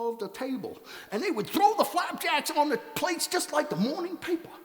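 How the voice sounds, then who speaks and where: Putting on a character voice, a man speaks at a fairly quick pace. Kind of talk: tall tale storytelling performance. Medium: read story. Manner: folksy, comic.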